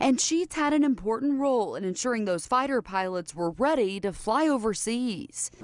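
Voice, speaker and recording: A woman speaks at a moderate pace in a high voice with lively intonation and hardly any pauses, over noticeable background noise. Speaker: TV news reporter. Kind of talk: TV news report.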